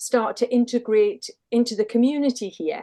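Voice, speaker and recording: At a moderate pace, a woman speaks with a high pitch and a dark, mellow tone. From Northumberland, northern England. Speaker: lifeboat crew member and sea safety officer. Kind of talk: casual interview chat.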